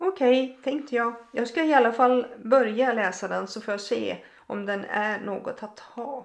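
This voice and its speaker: Hardly pausing, a woman speaks at a moderate pace in an unremarkable speaking voice, fairly high in pitch with ordinary pitch variation. Her loudness swings widely. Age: 60s. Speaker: podcaster sharing personal faith testimony. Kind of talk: testimony.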